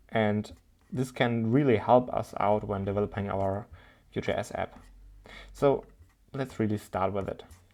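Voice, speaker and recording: Speaking with a non-native accent, a man has a fairly low pitch and a fairly slow pace with long, frequent pauses. The recording is very clean, with a silent background. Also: fairly even intonation. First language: not English. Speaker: programming tutor. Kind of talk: tutorial. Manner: halting.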